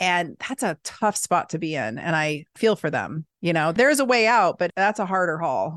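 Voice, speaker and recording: A woman with an unremarkable speaking voice talks at a fairly low pitch with lively intonation. She hardly pauses, and the background is quiet. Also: moderate pace, dry, close sound with no echo. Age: 40s. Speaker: physician. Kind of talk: casual chat.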